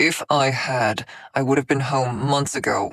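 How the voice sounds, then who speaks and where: A man performs a put-on character voice that is raspy at a medium pitch. He keeps a moderate pace on a very clean recording with a silent background. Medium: read story. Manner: tight, clipped, barely leashed temper.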